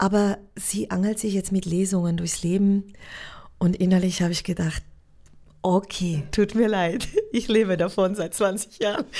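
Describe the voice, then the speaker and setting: In a Swiss German accent, the speaker talks at a fairly slow pace with long, frequent pauses, a dark, mellow tone and fairly even intonation, on a very clean recording with a silent background. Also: woman, medium pitch for a woman. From Switzerland. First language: Swiss German (speaking German). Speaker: actress. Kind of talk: casual interview. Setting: acting school in Zurich.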